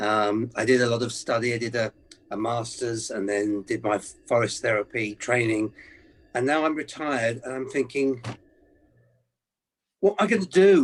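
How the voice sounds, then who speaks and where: At a moderate pace, a man with a medium pitch talks with long, frequent pauses. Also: lively intonation. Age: 60s. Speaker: retired former carer, workshop participant. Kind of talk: group coaching session.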